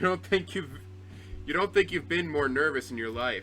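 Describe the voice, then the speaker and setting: A man talks with very wide pitch swings while music plays in the background. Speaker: gaming video creator. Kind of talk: casual gameplay commentary.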